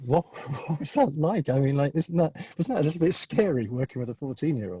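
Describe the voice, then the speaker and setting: With a British accent, a man talks at a very fast pace in a fairly high pitch, his intonation lively and his tone dark, mellow and somewhat breathy, in a dry, close sound with no echo. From UK. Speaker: conference moderator. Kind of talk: panel interview. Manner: halting.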